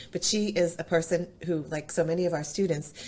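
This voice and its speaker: A woman's dark, mellow, somewhat breathy voice, fairly low in pitch, with fairly even intonation. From New England. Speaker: chef and culinary instructor. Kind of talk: podcast interview.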